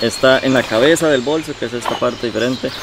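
Over clear background noise, the talk runs at a fairly quick pace with ordinary pitch variation. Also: man, medium pitch for a man.

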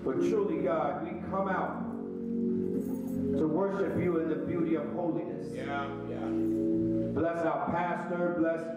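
Loud music plays in the background as a man speaks at a very slow pace, with audible room echo. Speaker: minister leading prayer. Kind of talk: prayer. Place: church. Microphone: handheld.

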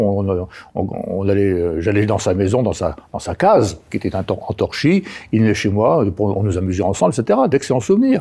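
A man speaks at a moderate pace in a fairly low, dark and mellow voice with ordinary pitch variation. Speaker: retired army general; interview guest. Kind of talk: interview. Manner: halting, frequent repetitions. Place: studio. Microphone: lapel.

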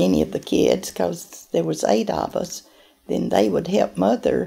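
A woman speaks with a Southern US accent. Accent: Southern US (Georgia). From US South, Acworth, Georgia; Georgia. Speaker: oral history interviewee; interviewee. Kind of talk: interview. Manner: halting. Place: office.

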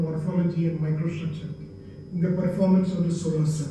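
A man with a high pitch at a fairly quick pace, over light background noise with strong room echo. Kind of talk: research explanation. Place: office.

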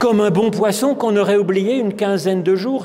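The man's voice is high-pitched, with ordinary pitch variation. His tone is calm and warm. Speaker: preacher. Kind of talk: sermon. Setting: church. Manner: calm, warm and didactic, explaining the parable at an unhurried pace; gently earnest, reflective and pastoral. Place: church. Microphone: podium.

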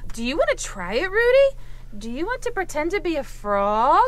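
This is a cartoonish character voice, female-sounding and extremely high in pitch. It moves at a moderate pace. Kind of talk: children's puppet show.

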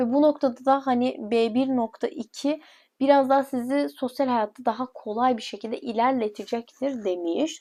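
A woman speaks at a fairly slow pace with hardly any pauses, her high voice carrying a dark, mellow tone and ordinary pitch variation. The recording is very clean, with a silent background. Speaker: education consultant presenting English levels. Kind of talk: informal explainer video. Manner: casual, rambling with fillers.

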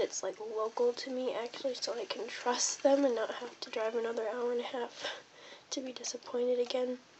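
A high-pitched woman speaks fairly quickly in a monotone, flat intonation, with noticeable background noise. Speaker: pet owner. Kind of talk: casual talk to camera.

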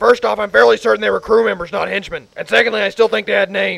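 Speaking at a very fast pace, the man has a high pitch. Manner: exasperated, whiny, complaining.

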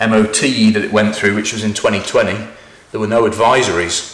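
A man speaks with audible room echo around him. Light background noise is present. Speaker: presenter. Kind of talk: casual vlog chat. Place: garage.

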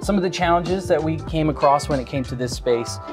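A man talks over clear music in the background. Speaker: host from an integration company. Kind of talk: presenter intro, tech tour. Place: church. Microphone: lapel.

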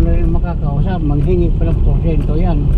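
Over loud background noise, a man talks at a moderate pace, the sound dry with no echo. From Cebu, Philippines. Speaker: taxi driver. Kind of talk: interview answer. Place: car. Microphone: phone near.

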